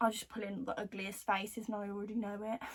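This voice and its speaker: A woman with a Birmingham accent talks at a fairly high pitch. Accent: Birmingham (Brummie) English. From Birmingham, England. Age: 20s. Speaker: beauty vlogger. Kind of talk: casual chat. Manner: casual, filler-heavy.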